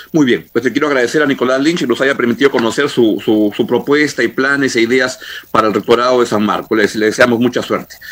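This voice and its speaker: Very fast speech comes from a man at medium pitch. His pitch varies in an ordinary way. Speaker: radio host. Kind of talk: radio interview. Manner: halting, repeats words.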